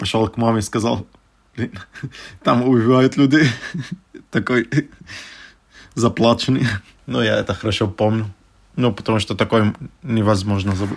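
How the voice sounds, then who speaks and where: A man talks at a moderate pace, leaving long, frequent pauses. His medium-pitched voice carries an Arabic accent and fairly even intonation. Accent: Arabic accent in Russian. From Syria, Damascus. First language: Arabic (speaking Russian). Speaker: refugee. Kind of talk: interview storytelling. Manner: halting, many fillers.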